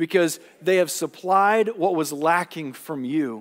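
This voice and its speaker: Over a quiet background, a man talks in a high pitch. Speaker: pastor. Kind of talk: sermon. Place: church.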